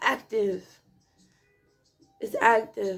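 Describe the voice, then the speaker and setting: Background music plays throughout. Over it, a woman talks. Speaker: spiritual content creator. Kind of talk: emotional vlog monologue.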